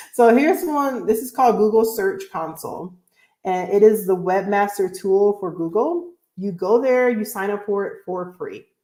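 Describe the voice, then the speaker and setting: Lively in intonation with big swings in loudness, a woman at medium pitch speaks at a moderate pace in a dark, mellow tone. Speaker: blogger. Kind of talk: live Q&A stream. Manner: casual, filler-heavy.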